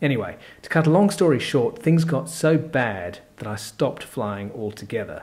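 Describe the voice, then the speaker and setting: Lively intonation marks this man's Australian accent. His voice is somewhat breathy. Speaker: course presenter. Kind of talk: sales pitch.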